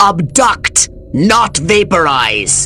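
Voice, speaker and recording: Over clear background noise, a man puts on a high-pitched cartoonish character voice. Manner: pompous, condescending.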